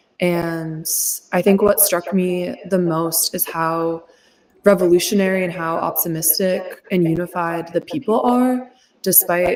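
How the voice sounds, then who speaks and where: A woman with an American accent speaks at a fairly slow pace in a normal speaking voice. Her pitch is fairly low and her intonation fairly even. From United States. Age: 20s. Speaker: activist and freelance journalist. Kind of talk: interview.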